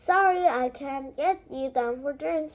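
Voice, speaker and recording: A woman's put-on character voice, high-pitched, at a fairly slow pace. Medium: read story. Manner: folksy, chatty.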